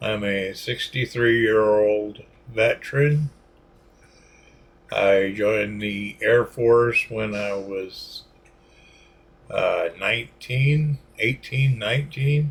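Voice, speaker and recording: Against noticeable background noise, a man speaks very slowly at a medium pitch with ordinary variation, leaving long, frequent pauses. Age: 60s. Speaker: military veteran. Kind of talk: personal testimony monologue. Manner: halting, many fillers.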